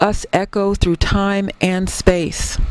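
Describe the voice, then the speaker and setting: The woman's pitch sits in the medium range. She talks at a very slow pace. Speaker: historian. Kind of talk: keynote speech.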